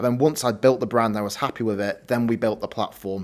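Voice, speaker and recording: Very fast speech comes from a man of medium pitch. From northern England, West Yorkshire (Morley). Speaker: startup founder and CEO. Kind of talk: live Q&A talk. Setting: office venue with live audience.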